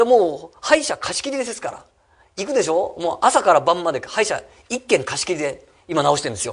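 A man talks at a very fast pace with very wide swings in pitch. The background is quiet. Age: 50s. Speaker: real estate company head and seminar speaker; presenter. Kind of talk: seminar talk. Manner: many fillers, halting. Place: meeting room. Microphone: podium.

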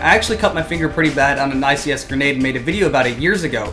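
Clear music plays in the background while a man talks at a very fast pace with ordinary pitch variation. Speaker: airsoft hobby reviewer. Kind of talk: casual vlog chat. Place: home room. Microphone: camera far.

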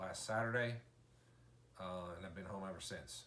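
The voice has a bright, sharp tone. Light background noise and audible room echo come through. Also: man. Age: 40s. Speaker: vlogger, injured father; vlogger. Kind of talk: casual video diary. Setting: hospital room. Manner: halting, many fillers. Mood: calm, matter-of-fact. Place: home room. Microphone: camera far.

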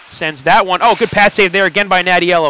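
The tone is relaxed. The sound is dry with no echo, over light background noise. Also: man. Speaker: sports commentator. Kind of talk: live sports commentary over hockey game highlights. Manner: excitable on goals, then relaxed analytical asides. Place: stadium.

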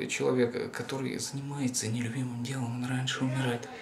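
A man's voice at a moderate pace over noticeable background noise. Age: 30s. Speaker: video blogger; vlogger. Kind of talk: monologue to camera. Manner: halting, repetitive. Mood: reflective, serious. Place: home room. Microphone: camera far.

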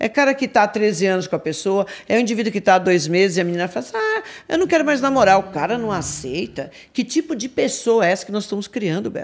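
Her pitch swinging very widely, a woman talks very fast. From Brazil, São Paulo. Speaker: crime analyst. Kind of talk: casual chat. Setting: studio. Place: studio. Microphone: studio mic.

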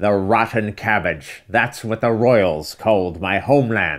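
In a very clean recording with a silent background, a man does a put-on character voice at a fairly low pitch and a fairly slow pace.

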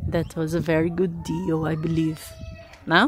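A woman is heard in a dry recording with no echo, with loud noise in the background. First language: Portuguese. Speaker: YouTuber building a house. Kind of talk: casual vlog narration. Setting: outdoors at a building lot. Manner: repeats and stumbles over words. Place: open country. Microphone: phone near.

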